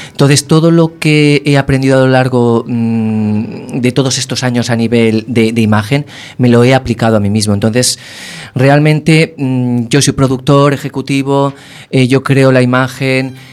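With fairly even intonation, a man talks fairly slowly in a medium pitch. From Castellón, Spain. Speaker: musician. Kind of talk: interview. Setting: studio.

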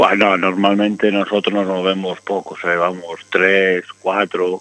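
A man's very deep, low voice keeps a monotone, flat intonation. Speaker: motorcycle mechanic. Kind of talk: casual chat. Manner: fast.

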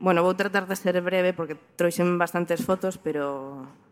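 A woman speaks at a fairly low pitch in a monotone with flat intonation. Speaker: photographer. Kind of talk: talk presentation.

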